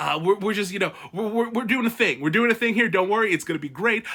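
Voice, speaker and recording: A man with a high pitch uses a raised, projected voice and an animated tone, with ordinary pitch variation. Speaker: book commentary youtuber. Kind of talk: casual ranking commentary. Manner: fast.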